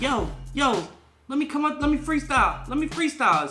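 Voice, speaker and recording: A strained, high-pitched put-on character voice moves at a fairly quick pace. Faint music plays in the background. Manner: pushy, eager.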